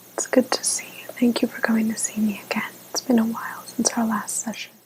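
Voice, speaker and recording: Whispering in a calm tone, a woman is heard over noticeable background noise. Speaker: ASMR artist playing a therapist. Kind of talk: ASMR therapy role play, guided relaxation. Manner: soft-spoken, calm, slow.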